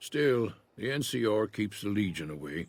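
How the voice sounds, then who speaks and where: A man puts on a raspy character voice at a fairly low pitch, with very wide pitch swings. His pace is moderate. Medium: video game. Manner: plainspoken, folksy, unhurried.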